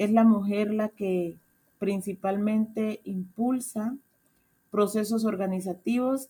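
Her voice has a dark, mellow tone as this woman speaks at a very slow pace with fairly even intonation. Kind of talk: radio interview.

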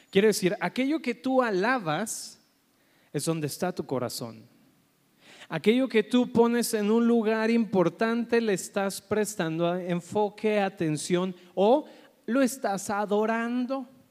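At a very slow pace, a man with a high voice talks with ordinary pitch variation. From Colombia. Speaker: pastor. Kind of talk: sermon.

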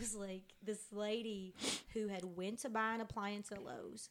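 A woman talks in a plain, everyday voice. Her pace is moderate. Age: 30s. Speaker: podcast co-host. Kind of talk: casual chat. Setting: home apartment living room.

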